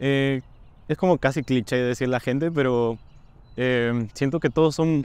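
A man speaks with ordinary pitch variation. The sound is dry, with no echo. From Peru, Cajamarca; Peru. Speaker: university student. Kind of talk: interview Q&A. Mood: friendly, relaxed. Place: street.

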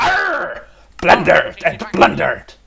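A put-on character voice at a fairly slow pace. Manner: gruff, playful.

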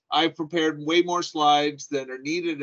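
A man speaks at a moderate pace, his intonation fairly even, over a quiet background. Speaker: presenter. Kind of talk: conference presentation. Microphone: video call.

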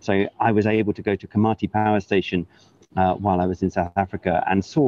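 Speaking with a Welsh accent and fairly even intonation, a man is heard in a dry sound with no echo. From Wales. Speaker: government climate envoy. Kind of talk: news interview.

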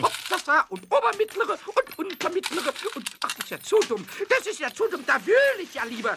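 Putting on a character voice, a man speaks at an extremely high pitch with very wide pitch swings and a fairly quick pace. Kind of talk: children's audio drama dialogue. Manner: playful, stammering, fast.

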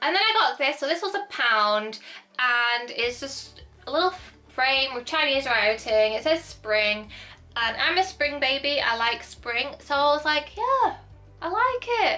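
A woman speaks at a high pitch in a raised, projected voice, her pitch swinging very widely. Her pace is fairly slow, with faint music behind her. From northern England, Hull, East Yorkshire; northern England. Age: 20s. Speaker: YouTuber. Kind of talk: haul video, casual chat; casual vlog chat. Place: home room.

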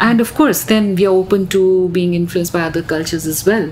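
Noticeable background noise surrounds a woman with a fairly low pitch. She talks at a moderate pace with ordinary pitch variation. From India. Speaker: visual artist and photographer. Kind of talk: casual chat. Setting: office.

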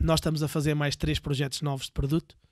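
Somewhat breathy and monotone with flat intonation, a man speaks against a quiet background in a dry sound with no echo. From Portugal, Viseu; Portugal. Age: 40s. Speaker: entrepreneur, tattoo business owner; podcast guest. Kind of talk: casual interview. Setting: in person, Viseu. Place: studio. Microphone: studio mic.

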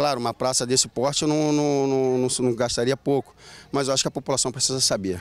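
In a very clean, dry, close recording with no echo and a silent background, a man with an ordinary speaking voice talks fairly quickly at medium pitch with fairly even intonation. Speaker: local resident. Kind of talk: street interview. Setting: outdoors.

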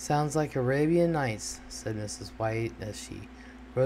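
The text comes through in an unforced reading voice.

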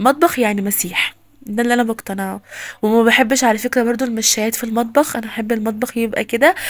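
Over noticeable background noise, a woman with an Egyptian accent speaks fairly quickly in a high pitch and an animated tone. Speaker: lifestyle vlogger. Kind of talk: home vlog narration.

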